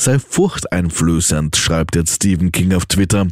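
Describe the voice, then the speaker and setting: The man speaks at a moderate pace. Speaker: radio news presenter. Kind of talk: brisk radio newsreading, crisp and authoritative with a light conversational lilt.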